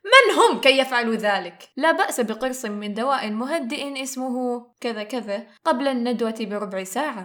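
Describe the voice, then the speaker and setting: Noticeable background noise sits behind a woman's high-pitched voice. Her intonation is lively. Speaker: aspiring voice-over artist. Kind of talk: humorous story narration. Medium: read story.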